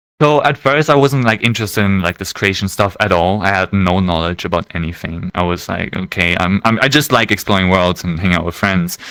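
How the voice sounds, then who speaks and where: A man's very deep, low voice with a bright, sharp tone, a fairly quick pace, ordinary pitch variation and hardly any pauses. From Germany. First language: German. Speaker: VR world creator. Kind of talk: casual podcast interview.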